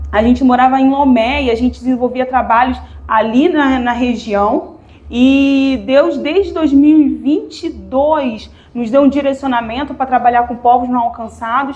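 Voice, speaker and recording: A woman with a Rio de Janeiro accent speaks at a fairly slow pace in a high pitch with fairly even intonation, with audible room echo and noticeable background noise. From Rio de Janeiro, Brazil. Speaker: missionary. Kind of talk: missionary presentation in church.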